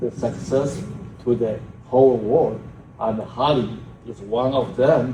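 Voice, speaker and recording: A man with a medium pitch speaks at a very slow pace. Noticeable background noise and audible room echo fill the recording. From China. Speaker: professor. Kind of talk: conference talk. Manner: loud.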